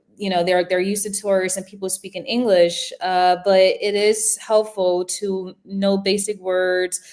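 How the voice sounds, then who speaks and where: A woman with an American accent speaks at medium pitch in a monotone, flat delivery, at a fairly slow pace with hardly any pauses. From United States. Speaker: attorney and law professor. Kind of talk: interview. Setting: livestream.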